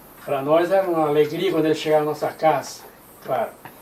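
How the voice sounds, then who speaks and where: A man speaks with fairly even intonation. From southern Brazil, Santa Catarina (Criciúma region). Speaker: retired pastor, church pioneer. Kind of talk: oral history interview. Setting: at his home.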